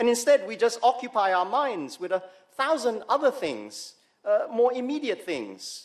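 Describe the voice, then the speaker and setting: A man talks at a moderate pace, with the background quiet. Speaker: preacher. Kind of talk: sermon. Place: church. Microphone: podium.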